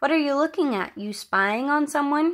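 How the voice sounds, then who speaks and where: Using a put-on character voice, a woman talks at a moderate pace in a high, shaky voice. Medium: read story. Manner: low, shaky.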